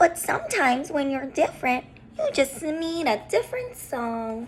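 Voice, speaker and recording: A put-on character voice with a high pitch and a gentle tone. Background noise is clearly audible. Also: moderate pace. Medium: read story.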